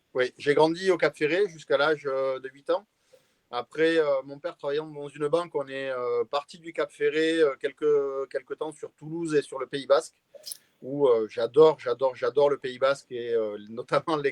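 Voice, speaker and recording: Moderate pace, big swings in loudness and fairly even intonation. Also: man, fairly high pitch for a man, dry, close sound with no echo. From southwestern France, Arcachon Basin (Gironde). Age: 40s. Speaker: pastry chef. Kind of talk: interview on a live stream. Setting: live stream. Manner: hesitant, many filler sounds.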